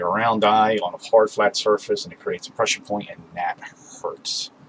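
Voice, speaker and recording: A man keeps a fairly quick pace, with noticeable noise behind his voice. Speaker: spiritual video maker. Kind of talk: monologue to camera. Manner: shaky.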